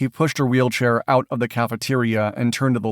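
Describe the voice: Fairly even intonation in plain reading aloud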